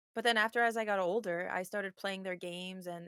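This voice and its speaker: In an Armenian accent, a woman talks at a moderate pace and medium pitch with fairly even intonation, the sound dry and close with no echo. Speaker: streamer. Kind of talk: casual chat.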